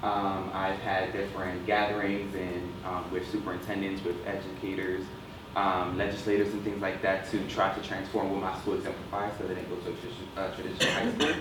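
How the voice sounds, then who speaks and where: Speaking at a fairly quick pace, a man with a New Jersey accent has a fairly low pitch and monotone, flat intonation. The recording carries audible room echo and noticeable background noise. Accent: New Jersey American. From Camden, New Jersey. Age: young. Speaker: student nominee. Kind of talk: impromptu self-introduction at meeting. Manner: halting, many fillers.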